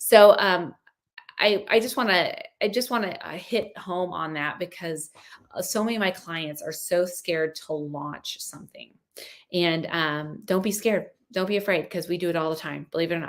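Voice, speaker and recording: Pitched fairly low, a woman's voice moves with ordinary pitch variation. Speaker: life and business coach. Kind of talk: online mini course talk. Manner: fast; animated.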